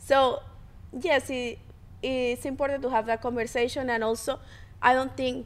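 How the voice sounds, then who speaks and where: A high-pitched woman's voice in a Spanish accent, with fairly even intonation. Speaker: podcast co-host. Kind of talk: casual chat between couple, podcast.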